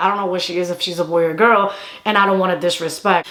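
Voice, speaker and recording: This is a woman speaking. Noticeable background noise runs underneath. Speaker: YouTuber and comedy content creator. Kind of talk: casual storytime monologue. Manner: animated.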